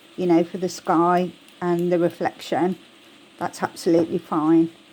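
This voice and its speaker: In a Birmingham accent, a woman speaks at a moderate pace with a fairly low pitch, flat monotone intonation and a dark, mellow tone. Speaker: crafting tutorial creator. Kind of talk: tutorial. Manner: casual, chatty.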